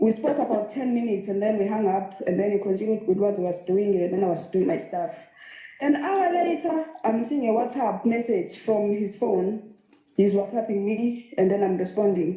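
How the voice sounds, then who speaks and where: At a moderate pace, a woman speaks at medium pitch with lively intonation, with audible room echo and noticeable background noise. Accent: Zulu. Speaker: caller to live show. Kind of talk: personal story.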